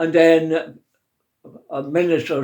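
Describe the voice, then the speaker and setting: In a Scottish accent, a man with a dark, mellow tone speaks at a very slow pace with monotone, flat intonation. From Scotland. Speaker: interviewee. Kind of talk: oral history interview.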